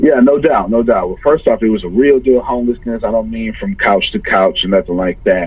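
With an American accent, a man talks in a normal speaking voice at a medium pitch with lively intonation. His pace is fairly quick, with hardly any pauses. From US South, Galveston, Texas. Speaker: entrepreneur and motivational speaker. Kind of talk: podcast interview.

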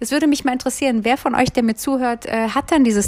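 A woman talks with a slight Berlin accent and ordinary pitch variation. Noticeable background noise runs behind her. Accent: light Berlin. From Berlin, Germany. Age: 40s. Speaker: podcaster and self-employed coach. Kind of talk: solo podcast monologue. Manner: many filler sounds.

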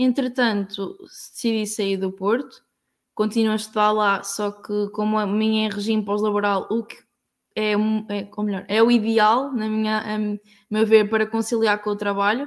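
Keeping a monotone, flat intonation, a woman speaks at a moderate pace in a fairly high pitch. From Portugal, Aveiro district. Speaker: working student. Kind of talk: casual chat.

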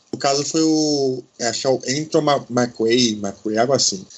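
A man in a normal speaking voice, medium in pitch, fairly slow, with ordinary pitch variation. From Brazil, Salvador (Bahia). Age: 30s. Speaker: history graduate and activist. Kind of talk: podcast discussion.

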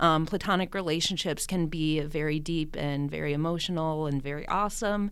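Audible room echo surrounds a woman with a very deep, low pitch, speaking at a fairly quick pace with fairly even intonation. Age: 20s. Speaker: chemistry teacher and aerialist. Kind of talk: casual interview chat.

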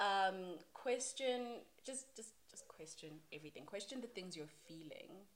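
Noticeable background noise sits behind a woman speaking at a fairly slow pace. Her medium-pitched voice has lively intonation. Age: 20s. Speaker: podcast guest. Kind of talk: casual chat.

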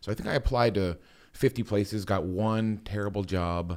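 The speaker has a Midwestern American accent and ordinary pitch variation. The recording is very clean, with a silent background. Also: man. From US Midwest, Akron, Ohio area. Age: 40s. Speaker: investing YouTuber and photographer. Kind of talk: podcast interview.

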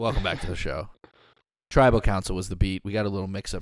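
A man talks at a very fast pace, captured on a very clean recording against a silent background. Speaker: podcast host. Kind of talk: casual chat.

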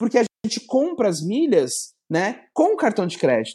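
The recording is very clean, with a silent background. A man speaks at a fairly slow pace in a dark, mellow tone. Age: 30s. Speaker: entrepreneur. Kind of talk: casual interview chat.

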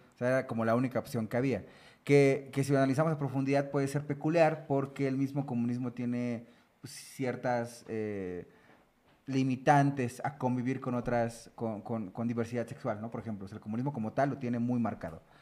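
An unremarkable speaking voice from a man, fairly quick, with fairly even intonation. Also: medium pitch for a man. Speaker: podcast host. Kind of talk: casual chat.

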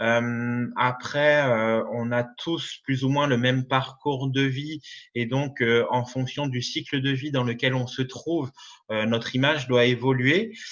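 This man talks at a very slow pace, his intonation fairly even throughout. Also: medium pitch for a man. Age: 30s. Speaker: image consultant. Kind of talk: interview. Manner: halting.

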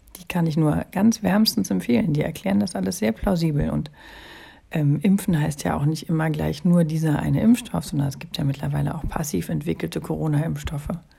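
A woman with a very deep, low voice whose pitch swings very widely. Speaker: podcast host. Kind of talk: solo monologue. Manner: hesitant, many filler sounds.

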